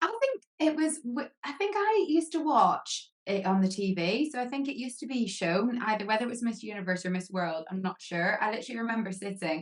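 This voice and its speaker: At a fairly quick pace and with hardly any pauses, a woman speaks in a fairly high pitch that swings very widely. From Northern Ireland, Lisburn. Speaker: beauty queen and pageant photographer. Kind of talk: podcast interview.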